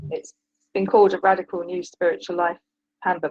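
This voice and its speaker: The voice carries a British accent. Its sound is dry and close, with no echo. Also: woman. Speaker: caller, retired teacher and author. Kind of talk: call-in advice conversation. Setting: call-in to live stream show. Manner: halting, many fillers.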